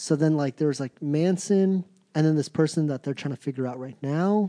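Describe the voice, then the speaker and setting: A man with an American accent speaks at a moderate pace in a fairly high pitch, with ordinary pitch variation, a dark, mellow tone, and a dry, close sound with no echo against a quiet background. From Virginia Beach, Virginia. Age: 30s. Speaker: podcast co-host. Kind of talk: casual chat.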